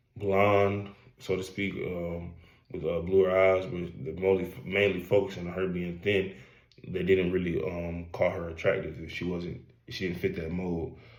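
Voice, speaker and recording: Amid audible room echo, a man with a very deep, low pitch and an American accent speaks at a moderate pace in a monotone, flat intonation. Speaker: college student. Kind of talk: class presentation. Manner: halting, many fillers.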